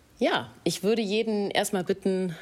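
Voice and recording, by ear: A woman talks at a moderate pace and medium pitch. Her tone is slightly mellow, with ordinary pitch variation.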